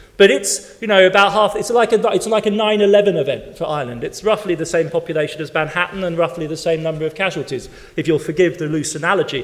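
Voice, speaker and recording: An animated man with an English accent talks at a very fast pace, with hardly any pauses. His pitch is high with ordinary variation, and there is noticeable background noise. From West Germany (English-born). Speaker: historian, keynote speaker. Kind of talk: conference Q&A answer. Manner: animated, halting with repetitions.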